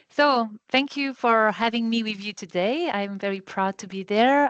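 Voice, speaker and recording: A woman's fairly high-pitched voice with a French accent, dry and close with no echo, against a quiet background. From France. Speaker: health and safety manager, trainer. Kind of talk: online training session. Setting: video call. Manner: fast.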